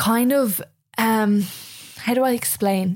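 A woman's dark, mellow voice at a fairly slow pace, on a very clean recording with a silent background. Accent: Irish. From Ireland. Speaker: podcast host. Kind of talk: solo monologue.

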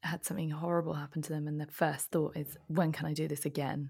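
On a very clean recording with a silent background, a woman talks in a British accent. Her voice is somewhat breathy and her pace fairly quick.

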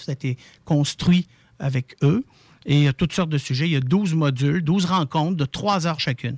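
A man with a fairly high, somewhat breathy voice speaks at a moderate pace with ordinary pitch variation, the sound dry and close with no echo on a very clean recording with a silent background. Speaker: palliative care volunteer organization spokesperson. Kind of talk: interview.

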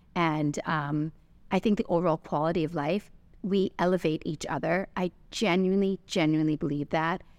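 A woman with a normal speaking voice talks at a moderate pace and a fairly low pitch, her intonation fairly even. The loudness stays very even, and the recording is very clean with a silent background. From Canada. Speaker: business owner. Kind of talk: interview.

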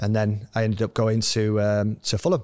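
A man speaks with a Yorkshire accent. The recording is very clean, with a silent background. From northern England, Scarborough, North Yorkshire. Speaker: former footballer and youth coach. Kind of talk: interview storytelling. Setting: stadium lounge recording.

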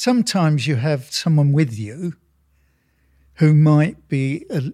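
A man with an English accent, fairly high-pitched and somewhat breathy, lively in intonation and fairly slow, on a very clean recording with a silent background and a dry, close sound with no echo. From England. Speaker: sculptor. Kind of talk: casual chat.

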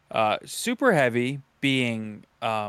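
In a very clean recording with a silent background, a man talks in an unremarkable speaking voice at medium pitch with ordinary pitch variation. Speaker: podcast host. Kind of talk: casual chat.

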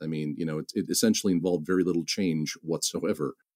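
With an American accent, a man talks at a very fast pace in a very deep, low pitch and a dark, mellow tone. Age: 40s. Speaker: fantasy author. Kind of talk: casual interview chat. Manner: halting, many repetitions and fillers.

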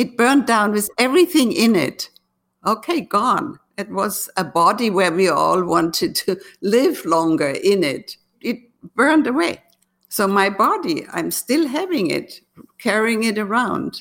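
A woman with a German accent talks at a fairly slow pace, her voice fairly high with vocal fry. Her pitch swings very widely. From Germany. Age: 80s+. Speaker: artist. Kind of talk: interview.

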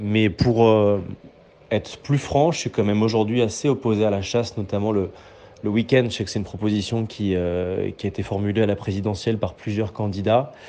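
Fairly low male voice, dark and mellow in tone, at a moderate pace with fairly even intonation. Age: 20s. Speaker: political journalist. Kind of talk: casual voice messages.

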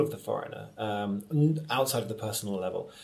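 A man speaks very fast with lively intonation. Noticeable background noise sits behind him. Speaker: theatre director and actor. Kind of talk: conversational interview.

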